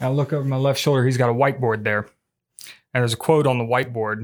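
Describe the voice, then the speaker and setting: A man with a medium pitch and fairly even intonation uses an ordinary speaking voice on a very clean recording with a silent background. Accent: American. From US Midwest, Indiana. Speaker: podcast co-host, military staff. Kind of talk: casual chat.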